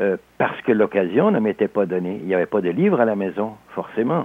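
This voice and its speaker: Here a man speaks with lively intonation. His pitch is fairly low. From Alsace, France, then Quebec from age 10. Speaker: novelist and sports historian. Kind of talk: interview.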